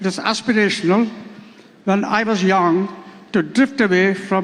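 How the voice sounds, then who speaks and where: A man talks at a fairly slow pace in a high pitch with fairly even intonation. Noticeable background noise runs under his voice. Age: 80s+. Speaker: book launch speaker. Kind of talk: speech at a book launch.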